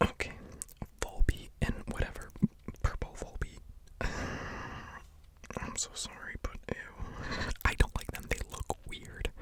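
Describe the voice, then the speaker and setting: Long, frequent pauses break up very slow whispering heard over noticeable background noise. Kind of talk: ASMR whispered ramble ranking video; casual talk to camera. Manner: whispered, casual, rambling.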